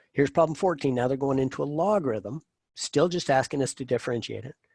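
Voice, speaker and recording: On a very clean recording with a silent background, a man speaks at a medium pitch with ordinary variation, the sound dry and close with no echo. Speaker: math professor. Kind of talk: lecture. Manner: fast.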